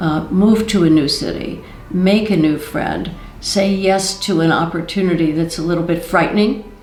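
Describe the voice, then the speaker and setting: A woman with a Midwestern US accent speaks in a fairly low voice. Noticeable background noise and audible room echo fill the recording. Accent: US Midwest. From Ohio, US Midwest (Cincinnati). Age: 80s+. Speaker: art museum board member. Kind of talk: interview testimony.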